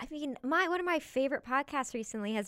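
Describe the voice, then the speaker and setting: A woman talks in an animated tone at a very fast pace. Her pitch swings very widely. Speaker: actress and comedian. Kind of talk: casual interview. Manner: animated, laughs often.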